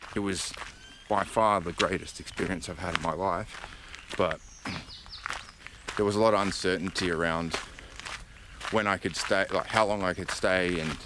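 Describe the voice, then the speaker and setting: A man with a very deep, low voice speaks in an Australian accent at a moderate pace, flat and monotone. He leaves long, frequent pauses, and background noise is noticeable. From Australia, Adelaide. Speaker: vlogger. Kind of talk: casual vlog monologue. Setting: outdoors on a hiking trail.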